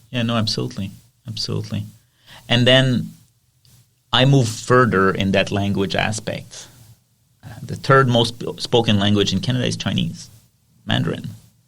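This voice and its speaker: Using vocal fry, a man with a fairly low pitch and ordinary pitch variation speaks at a moderate pace with long, frequent pauses. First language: French. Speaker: podcast host. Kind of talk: casual chat.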